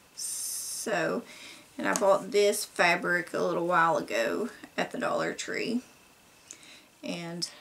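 Very slow speech from a woman with an American accent, over light background noise. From Kentucky. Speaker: DIY crafts vlogger. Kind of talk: casual show-and-tell haul video. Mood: cheerful, relaxed. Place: home room.

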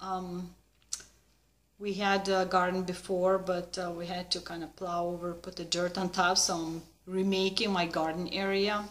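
A woman speaks at a moderate pace with a Lithuanian accent. Her intonation stays monotone and flat. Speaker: needlework vlogger. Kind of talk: casual vlog chat. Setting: video at home. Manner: informal, slightly halting. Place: home room. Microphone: webcam.

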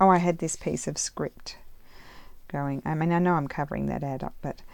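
Over light background noise, a woman with an Australian accent speaks fairly quickly in a very deep, low voice with fairly even intonation. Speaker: crafter. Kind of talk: casual craft tutorial. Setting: home craft room. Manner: chatty, rambling. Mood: relaxed, cheerful. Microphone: phone near.

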